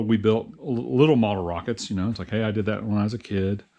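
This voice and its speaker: A man with an American accent, fairly low in pitch, with ordinary pitch variation and a fairly quick pace. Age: 60s. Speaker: hobbyist YouTuber, engineer. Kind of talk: casual vlog talk. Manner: halting, many fillers and repeats.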